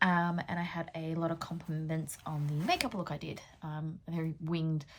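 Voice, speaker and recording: A woman's very deep, low voice, somewhat breathy, at a moderate pace in a very clean recording with a silent background. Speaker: beauty vlogger and pole dancer. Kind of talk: casual makeup tutorial chat. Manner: frequent 'um' fillers.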